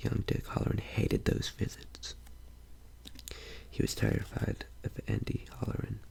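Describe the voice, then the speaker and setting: Noticeable background noise sits under whispering at a moderate pace. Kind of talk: narration reading a novel aloud. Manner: soft-spoken.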